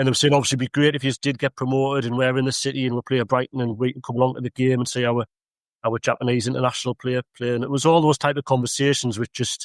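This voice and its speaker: A man with a North East English accent speaks very fast at a medium pitch in a monotone, flat intonation, the sound dry and close with no echo. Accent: broad Mackem (Sunderland). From northern England, Sunderland. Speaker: local councillor. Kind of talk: casual chat.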